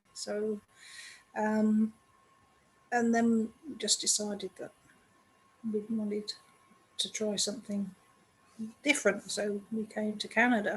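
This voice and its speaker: In an English accent, a woman speaks at a fairly slow pace with long, frequent pauses. Her intonation is monotone and flat. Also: fairly high pitch for a woman. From England. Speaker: children's book author. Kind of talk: podcast interview.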